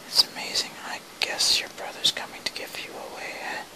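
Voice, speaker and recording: Whispered speech from a woman, set against noticeable background noise. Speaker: amateur ASMR whisper reader. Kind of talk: whispered play reading, relaxation. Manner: whispered, soft.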